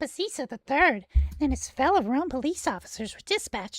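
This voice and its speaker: A put-on, squeaky character voice, high-pitched and fairly quick. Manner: mocking.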